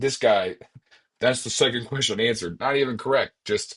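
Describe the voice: Quiet background, plain reading aloud, ordinary pitch variation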